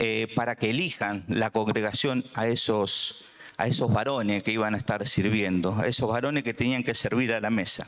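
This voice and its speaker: A man speaks with a Buenos Aires accent. His pace is moderate. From Argentina, Buenos Aires. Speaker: preacher. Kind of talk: sermon. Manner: halting, many fillers.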